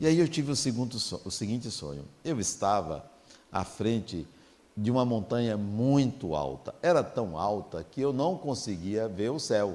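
A man's medium-pitched voice has a dark, mellow tone with very wide pitch swings. He speaks at a fairly slow pace. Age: 60s. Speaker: spiritist lecturer. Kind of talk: lecture.

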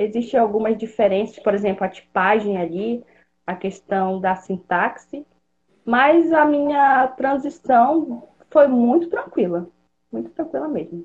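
With very wide pitch swings, a woman speaks in a fairly high voice at a fairly slow pace. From Pará, northern Brazil. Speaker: software developer. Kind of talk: podcast interview.

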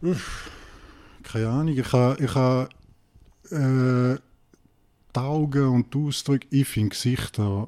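In a St. Gallen accent, a man speaks at a very slow pace, with long, frequent pauses and very even loudness. His medium-pitched voice has a dark, mellow tone and fairly even intonation. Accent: St. Gallen Swiss German. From Switzerland, St. Gallen. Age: 40s. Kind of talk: casual interview.

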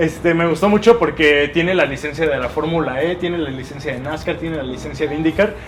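Noticeable background noise sits behind a man's voice. He speaks at a very fast pace in a fairly high pitch. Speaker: podcast co-host. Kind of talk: casual chat.

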